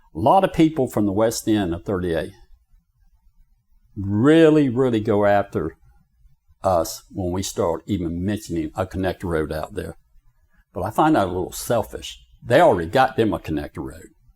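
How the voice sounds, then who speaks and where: With a Southern US accent, a man talks at a moderate pace in a fairly low, dark, mellow voice, his intonation lively and broken by long, frequent pauses. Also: very clean recording, silent background. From US South, Florida Panhandle. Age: 60s. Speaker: county commissioner. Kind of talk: interview. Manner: animated.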